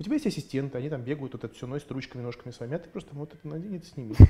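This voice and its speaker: A man speaks at a very fast pace with a fairly high pitch, a dark, mellow tone, a somewhat breathy quality and lively intonation. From Russia (Moscow), grew up in USSR. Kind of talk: casual interview chat. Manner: animated.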